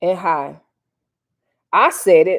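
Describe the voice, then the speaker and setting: A woman talks in a St. Louis accent. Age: 40s. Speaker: YouTube livestream host. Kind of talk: casual live stream commentary. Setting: live stream.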